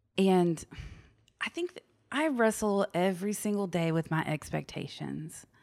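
A woman with an ordinary speaking voice talks at a medium pitch and a fairly slow pace, her intonation lively, in a very clean recording with a silent background. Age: 30s. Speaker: podcast guest. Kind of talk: casual interview conversation.

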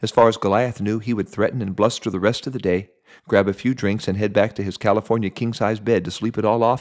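Fairly even intonation carried by an unforced reading voice

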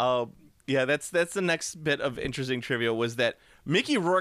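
A man's bright, sharp voice at medium pitch with ordinary pitch variation and a moderate pace, dry and close with no echo, in a very clean recording over a silent background. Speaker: comic book podcast host. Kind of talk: casual chat. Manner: animated.

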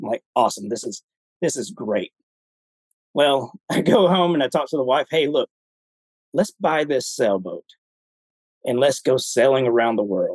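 A man speaks at a moderate pace in a Southern US accent, his pitch fairly high and his intonation lively. He leaves long, frequent pauses, and the sound is dry and close with no echo. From Alabama, US South. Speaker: retired army veteran. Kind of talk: casual chat. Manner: halting, with many repetitions.

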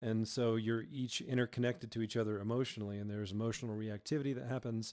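A man with an American accent, medium-pitched, at a very fast pace with fairly even intonation, on a very clean recording with a silent background. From Georgia, US South. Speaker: worship pastor. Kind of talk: casual interview chat. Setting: studio.

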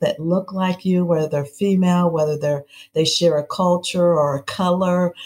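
The voice moves at a moderate pace and sounds somewhat breathy. Its intonation stays monotone and flat. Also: woman. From US Midwest (Peoria, Illinois). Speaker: city mayor. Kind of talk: interview.

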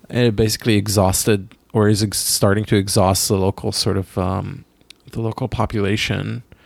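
A man with an Israeli accent speaks at a moderate pace in a fairly low pitch, with vocal fry. His intonation stays fairly even. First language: Hebrew. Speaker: podcast co-host, artist. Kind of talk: casual chat.

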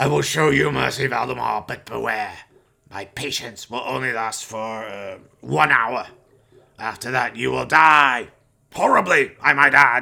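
This man's raspy voice sits at a medium pitch with ordinary pitch variation. He speaks at a moderate pace. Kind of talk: melodramatic horror villain. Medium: audio drama. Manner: sneering, mocking, imperious.

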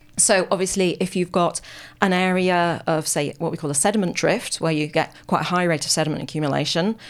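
A woman with a British accent talks at a fairly quick pace, her fairly low pitch showing ordinary variation, on a very clean recording with a silent background. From UK. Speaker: paleoclimate scientist. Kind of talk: radio interview. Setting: radio studio.

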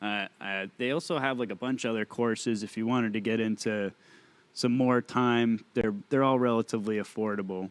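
A man speaks in a normal speaking voice with medium pitch and fairly even intonation. The pace is moderate, and the recording is very clean with a silent background. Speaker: co-host. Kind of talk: casual chat.

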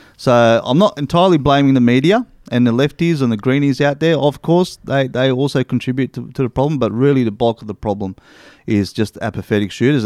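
A man with an Australian accent talks at a very fast pace, at medium pitch with ordinary pitch variation. The sound is dry and close with no echo, in a very clean recording with a silent background. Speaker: hunting podcast co-host. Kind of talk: casual chat.

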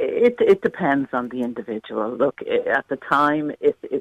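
At a fairly slow pace, a woman speaks with an Irish accent. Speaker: caller. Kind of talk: radio phone-in discussion. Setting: phone call.

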